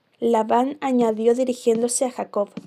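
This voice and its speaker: Speaking at a fairly slow pace, a woman has a high pitch, a dark, mellow tone, and monotone, flat intonation. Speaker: ASMR creator. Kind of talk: bible reading. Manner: soft-spoken.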